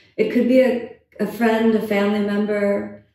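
A woman speaks at a fairly high pitch and a fairly slow pace, somewhat breathy. Her tone is calm, soothing, dark and mellow. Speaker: yoga teacher and meditation guide. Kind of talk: guided meditation. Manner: slow, soft-spoken, calm and soothing with long pauses.

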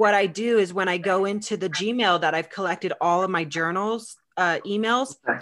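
A woman with a plain, everyday voice and an American accent speaks at a moderate pace and medium pitch with ordinary pitch variation and hardly any pauses. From US West (California, Arizona). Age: 40s. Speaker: podcast host. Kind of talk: casual chat.

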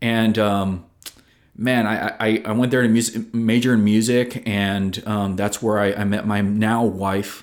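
At a fairly slow pace, a man with an American accent talks in a fairly low pitch with monotone, flat intonation. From American Samoa. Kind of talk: casual chat. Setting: studio.

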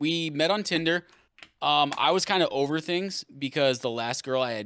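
At a fairly slow pace, a bright, sharp voice with an American accent comes through on a very clean recording with a silent background. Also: man. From US Midwest. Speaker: Twitch streamer and musician. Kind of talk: casual chat.

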